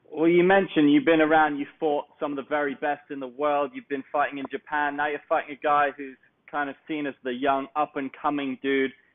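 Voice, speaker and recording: Speaking in a southern English accent, a man with a fairly high pitch moves at a fairly quick pace in a monotone, flat delivery with hardly any pauses. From southeast England (Kent). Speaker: MMA interviewer. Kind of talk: interview.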